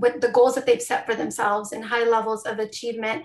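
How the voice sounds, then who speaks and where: With a Spanish accent, a woman talks in a fairly high pitch. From US, Mexican-American family. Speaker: education professor. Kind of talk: panel conversation.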